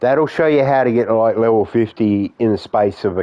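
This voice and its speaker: This man talks with an Australian accent and ordinary pitch variation. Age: 50s. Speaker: gaming streamer. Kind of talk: live stream chat with viewers. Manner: casual, halting.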